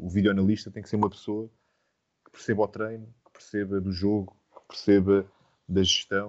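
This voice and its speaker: A man with an unremarkable speaking voice, fairly low in pitch, at a fairly quick pace. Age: 30s. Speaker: football coach. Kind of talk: interview.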